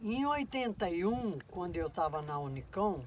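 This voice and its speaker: A man is speaking. His pitch is high. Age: 70s. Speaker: poet. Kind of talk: documentary interview answer.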